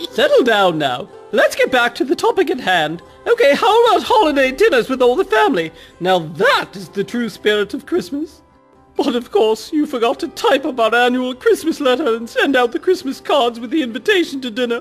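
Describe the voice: Over faint background music, a put-on character voice runs at a fairly quick pace, pitched high with very wide pitch swings.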